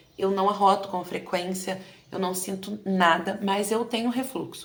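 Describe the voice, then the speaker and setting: A woman speaks at a medium pitch with ordinary pitch variation. Audible room echo and noticeable background noise come through. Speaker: teacher and education vlogger. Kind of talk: personal testimony vlog. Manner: consciously slowed pace.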